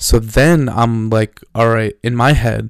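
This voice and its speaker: A man's very slow, medium-pitched speech in a non-native accent, fairly even in intonation, on a very clean recording with a silent background. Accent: noticeable non-native. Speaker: solo daily podcaster. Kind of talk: casual solo monologue, diary-style. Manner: hesitant, many fillers and restarts.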